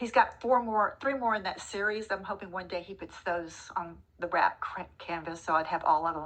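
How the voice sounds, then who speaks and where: With a Texan accent, a woman talks at a medium pitch with ordinary pitch variation and hardly any pauses. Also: moderate pace. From Texas, Dallas. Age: 60s. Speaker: retiree. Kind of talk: casual chat.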